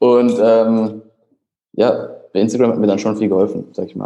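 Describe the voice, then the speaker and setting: Monotone, flat intonation carries a dark, mellow tone. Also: man. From Germany. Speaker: fitness prep coach. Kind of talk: casual chat.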